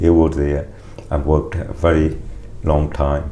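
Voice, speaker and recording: A man speaks with a very deep, low pitch and fairly even intonation. Noticeable background noise and audible room echo surround his voice. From Uganda, East Africa (Punjabi family). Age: 60s. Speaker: interviewee telling family migration history. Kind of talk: oral history interview. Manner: halting, with many fillers and restarts.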